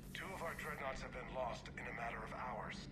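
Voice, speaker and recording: Over loud background noise, a man puts on a character voice and talks at a fairly quick pace. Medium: machinima. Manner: grave.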